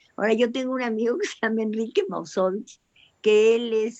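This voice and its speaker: A woman's voice with a dark, mellow tone. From Mexico. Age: 80s+. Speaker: writer. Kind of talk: panel discussion.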